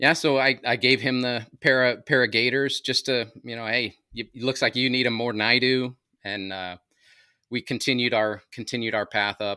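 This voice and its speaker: At a moderate pace, a man speaks in a normal speaking voice of medium pitch with fairly even intonation. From Southern California. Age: 50s. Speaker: podcaster and preparedness advocate. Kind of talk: casual interview storytelling.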